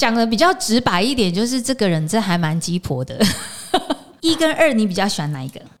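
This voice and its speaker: Noticeable background noise sits under a fairly quick delivery. The tone is animated, with very wide pitch swings. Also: woman, fairly high pitch for a woman. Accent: Taiwanese. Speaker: podcast host, aromatherapy teacher. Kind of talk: casual interview chat. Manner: animated, laughing often.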